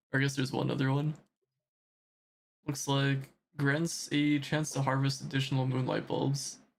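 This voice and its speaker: A man's fairly high, somewhat breathy voice, monotone and flat, at a moderate pace with very even loudness and long, frequent pauses. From United States, Armenian family. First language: Armenian. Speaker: gaming streamer. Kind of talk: casual live stream chat. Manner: relaxed, hesitant with fillers.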